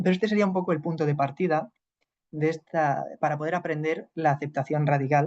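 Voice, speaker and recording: In fairly even intonation, a man speaks at a fairly high pitch. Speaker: psychologist teaching a class. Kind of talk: lecture.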